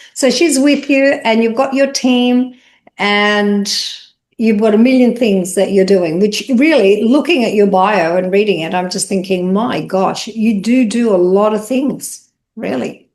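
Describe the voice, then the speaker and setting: Using a normal speaking voice, a woman talks at a fairly slow pace with a fairly high pitch and ordinary pitch variation. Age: 60s. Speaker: interviewer, beauty business owner. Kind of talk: casual interview chat.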